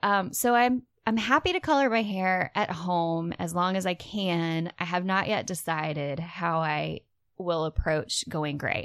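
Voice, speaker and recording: Here is a woman with an unremarkable speaking voice, fairly low in pitch, with ordinary pitch variation. She goes at a fairly slow pace, and the background is quiet. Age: 30s. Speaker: podcast co-host. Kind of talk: casual chat.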